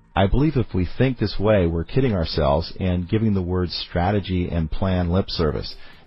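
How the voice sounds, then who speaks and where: This man has a very deep, low pitch and a somewhat breathy voice. He talks at a moderate pace with ordinary pitch variation and hardly any pauses. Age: 40s. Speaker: business podcast host and CEO. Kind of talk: podcast talk on business planning.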